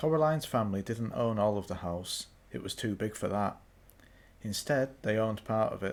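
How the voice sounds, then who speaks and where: A man with a British accent speaks at a moderate pace in a fairly low voice. The recording is very clean, with a silent background. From Britain. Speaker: audiobook reader. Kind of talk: audiobook narration. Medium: read story.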